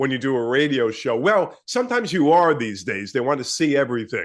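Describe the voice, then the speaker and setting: Against a quiet background, a man with an American accent and a medium pitch speaks at a fairly quick pace. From New York. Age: 60s. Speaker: radio host and fitness personality. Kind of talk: casual interview chat. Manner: talkative.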